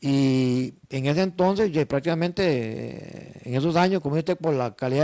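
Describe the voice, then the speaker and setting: Speaking at a fairly quick pace, a man with a fairly high pitch has a dark, mellow tone and ordinary pitch variation. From Costa Rica, northern region. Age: 60s. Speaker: tour organizer, business owner. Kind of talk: interview.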